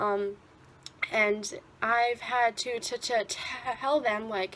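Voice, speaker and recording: Over noticeable background noise, a woman with a fairly high voice speaks at a very slow pace with fairly even intonation. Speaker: vlogger who stutters. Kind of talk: personal video commentary.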